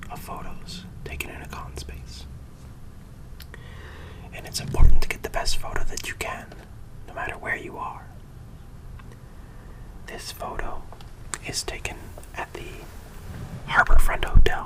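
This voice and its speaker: Whispering with long, frequent pauses over noticeable background noise. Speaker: ASMR creator and furry fandom photographer. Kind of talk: ASMR photography talk. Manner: soft-spoken.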